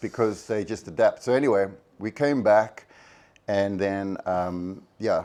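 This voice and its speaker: The man speaks in a Cape Town accent, with a fairly low pitch and a dark, mellow tone. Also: ordinary pitch variation. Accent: South African (Cape Flats English). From South Africa, Cape Town (Athlone). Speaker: actor. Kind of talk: testimony. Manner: halting.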